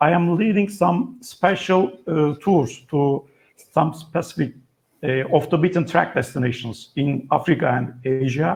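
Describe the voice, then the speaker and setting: A man talks with a Turkish accent at a fairly high pitch. His pace is fairly slow and his intonation lively. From Turkey. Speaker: travel writer and tour operator. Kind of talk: interview. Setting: video call. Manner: halting.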